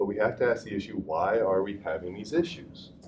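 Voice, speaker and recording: A man talks at a fairly quick pace with a Southern US accent. His voice is somewhat breathy, with ordinary pitch variation. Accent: hillbilly accent, slips out. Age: 40s. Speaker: fitness and rehab coach. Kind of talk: lecture.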